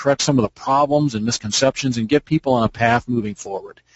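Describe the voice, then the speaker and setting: Here a man speaks at a very fast pace. His medium pitch shows ordinary variation. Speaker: SEO expert. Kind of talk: webinar presentation. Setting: online webinar.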